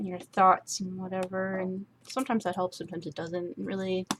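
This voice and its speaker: The speaker is a woman with a medium pitch. Her intonation stays fairly even. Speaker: artist streaming a drawing session. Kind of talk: casual chat while drawing. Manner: soft-spoken; halting.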